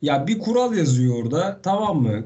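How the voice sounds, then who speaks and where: Speech comes at a moderate pace with audible room echo. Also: man. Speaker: motorsport podcast co-host. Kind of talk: casual chat. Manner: animated. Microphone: poor internet connection, bad sound.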